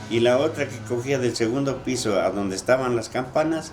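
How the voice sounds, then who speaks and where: Music plays in the background as a man speaks at a moderate pace in a medium pitch. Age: 70s. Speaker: former sacristan's assistant. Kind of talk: interview. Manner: halting.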